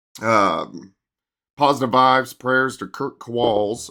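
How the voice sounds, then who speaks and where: A man's bright, sharp tone in a very clean recording with a silent background. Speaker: TV meteorologist. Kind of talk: weather briefing video. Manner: casual, conversational.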